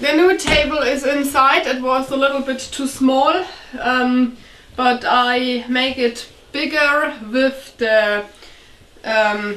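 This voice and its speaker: Audible room echo surrounds a woman's high voice, which has ordinary pitch variation and moves at a very slow pace. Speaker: vlogger fixing up a cabin. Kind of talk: casual vlog chat. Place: home room.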